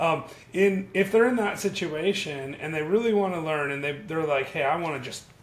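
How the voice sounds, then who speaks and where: A man's fairly high, lively voice at a fairly quick pace, with audible room echo and noticeable background noise. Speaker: YouTube channel host. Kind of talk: casual interview. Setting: video call.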